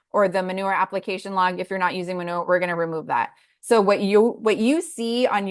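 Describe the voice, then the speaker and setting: With a plain, everyday voice, a woman speaks at medium pitch and a moderate pace, her intonation fairly even, over a quiet background. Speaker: farm food-safety instructor. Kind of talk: online class tutorial.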